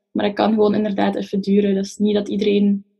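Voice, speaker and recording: A woman at a medium pitch talks in a monotone, flat intonation, sounding somewhat breathy. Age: 20s. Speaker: psychology student. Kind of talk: casual chat.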